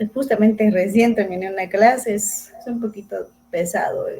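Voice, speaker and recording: A woman speaks with a fairly high pitch. Her pace is moderate and her pitch variation ordinary. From Ecuador, rural Zamora province. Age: 30s. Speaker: recovering addict guest, university student. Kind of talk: personal testimony interview.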